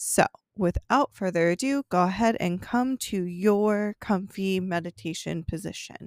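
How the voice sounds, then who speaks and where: At a fairly slow pace, a woman speaks in an ordinary speaking voice at a medium pitch with ordinary pitch variation. The recording is very clean, with a silent background and a dry, close sound with no echo. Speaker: yoga teacher and meditation guide. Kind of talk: guided meditation, calm and unhurried, soothing instructions with pauses for breathing. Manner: slow, soft-spoken; gentle, soothing, measured.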